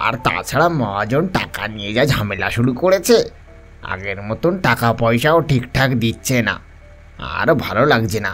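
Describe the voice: Over clear background music, a man puts on a character voice at a medium pitch and a moderate pace.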